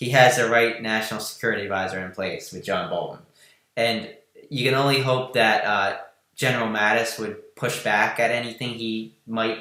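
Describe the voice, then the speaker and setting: This man has a New Jersey accent. Audible room echo surrounds his voice. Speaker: political news podcast host. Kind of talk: live stream political chat.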